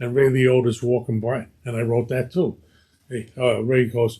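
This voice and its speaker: A man with a Brooklyn accent speaks at a medium pitch in a somewhat breathy voice. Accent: Brooklyn New York. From Brooklyn, New York (East New York). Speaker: actor. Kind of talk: casual interview chat. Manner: animated storytelling.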